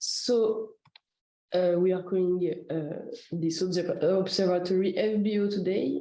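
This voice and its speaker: With audible room echo, a woman speaks fairly slowly in a medium pitch, her tone dark and mellow and her loudness very even. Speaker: citizen science project coordinator. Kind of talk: presentation. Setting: video call. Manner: halting.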